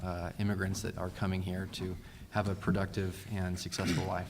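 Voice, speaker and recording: In a room with audible echo, a man with a fairly low pitch speaks at a moderate pace in a flat monotone. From Fresno, California. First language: Spanish. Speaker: city council candidate, attorney. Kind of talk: candidate forum answers. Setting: public forum with audience. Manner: hesitant, many fillers.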